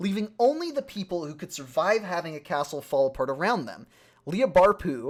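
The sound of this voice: Someone reads in an unforced voice.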